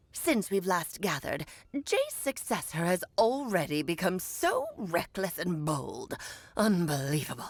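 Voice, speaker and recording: A woman's put-on character voice at a medium pitch. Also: moderate pace. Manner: imperious, scornful.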